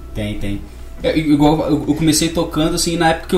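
Heard through audible room echo and noticeable background noise, a man speaks with a fairly high pitch. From Brazil, Minas Gerais (Barbacena). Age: 20s. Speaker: musician. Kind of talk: radio interview. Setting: studio.

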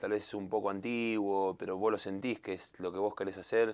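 Speaking with a Rioplatense accent, a man talks at a fairly quick pace with a fairly low pitch and monotone, flat intonation against a quiet background. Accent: Argentine Spanish (rioplatense). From Argentina. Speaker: singer. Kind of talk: interview.

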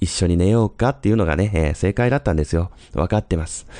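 A dry, close sound with no echo over a quiet background. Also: man. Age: 30s. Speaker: listener sending a voice memo. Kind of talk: recorded voice memo monologue. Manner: hesitant, many fillers.

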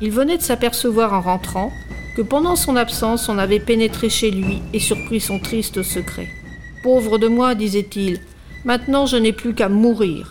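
Over music in the background, a woman speaks fairly slowly in a fairly high voice. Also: ordinary pitch variation. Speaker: radio reader of tales. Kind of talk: dramatic narration of a read-aloud tale, in the voice of an old villager. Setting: hospital radio studio. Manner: expressive, storytelling tone, slow and suspenseful.

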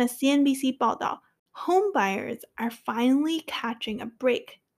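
A woman speaks at a high pitch. The recording is very clean, with a silent background. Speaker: English-learning podcast host. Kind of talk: tutorial; reading aloud.

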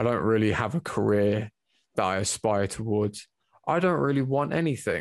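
The recording is very clean, with a silent background. A man speaks at a fairly low pitch with very wide pitch swings. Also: moderate pace. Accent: English. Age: 20s. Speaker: amateur MMA fighter. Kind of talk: casual chat.

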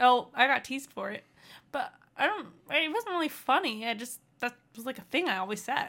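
Raised and projected, a woman's high, bright, sharp voice makes very wide pitch swings and big swings in loudness. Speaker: podcast co-host. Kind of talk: casual chat.

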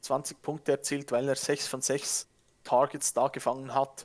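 A man at a moderate pace with a fairly high pitch, in a very clean recording with a silent background. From Switzerland. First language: Swiss German (speaking German). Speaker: fantasy football podcaster. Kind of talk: casual chat. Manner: halting, repeats words.

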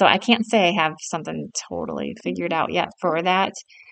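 A woman with a fairly low pitch and vocal fry speaks at a fairly quick pace. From South Dakota. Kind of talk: casual chat.

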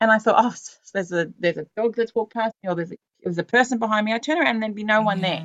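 Talking at a very fast pace, a woman with a fairly high pitch shows ordinary pitch variation. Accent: Australian. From Australia, western Sydney. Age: 40s. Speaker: podcast host. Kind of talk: casual interview chat.

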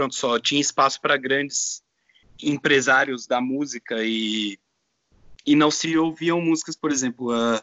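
Speaking at a fairly slow pace, a man talks with fairly even intonation and a fairly high pitch. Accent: São Paulo. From Brazil, São Paulo. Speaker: DJ. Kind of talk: casual chat.

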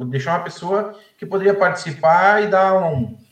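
Lively intonation at a fairly slow pace, with audible room echo. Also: man. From Erechim, Rio Grande do Sul, Brazil. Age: 40s. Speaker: baker and football fan. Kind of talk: casual chat.

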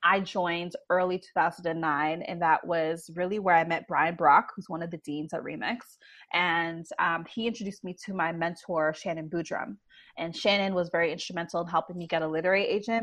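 Over a quiet background, a woman with a Canadian accent talks at a fairly quick pace in a normal speaking voice, her pitch fairly low and her intonation fairly even. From Canada, Toronto. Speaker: writer and agency executive. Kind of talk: interview. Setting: video call.

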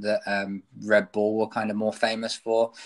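A man with a British accent speaks at a moderate pace in a fairly low voice, recorded very cleanly against a silent background. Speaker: podcast host. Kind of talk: interview. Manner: hesitant, many fillers.

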